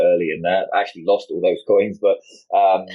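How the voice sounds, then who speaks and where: In a British accent, the speaker talks at a fairly quick pace. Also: man. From United Kingdom. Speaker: crypto industry executive. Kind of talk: interview. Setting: livestream video call. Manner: halting, many fillers.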